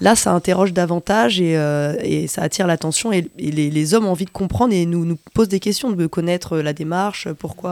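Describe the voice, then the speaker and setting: Fairly quick speech from a woman in a fairly low pitch, ordinary pitch variation and an unremarkable speaking voice. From Nantes area, France. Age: young. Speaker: teacher, activist. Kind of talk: radio interview. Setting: on location outside the studio.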